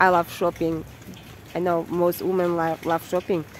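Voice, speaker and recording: With a Kazakh accent, a woman speaks at a fairly low pitch. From Kazakhstan. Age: 30s. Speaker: content creator and English teacher. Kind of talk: vlog monologue. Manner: halting.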